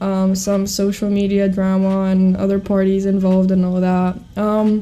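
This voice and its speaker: A woman with a Greek accent, dark and mellow in tone, medium in pitch, monotone and flat, at a moderate pace and very even loudness. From Greece. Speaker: podcast co-host. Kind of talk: casual chat.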